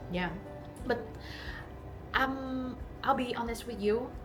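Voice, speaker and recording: A woman with a non-native accent, music in the background. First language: not English. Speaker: long hair model. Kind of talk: casual talk to camera.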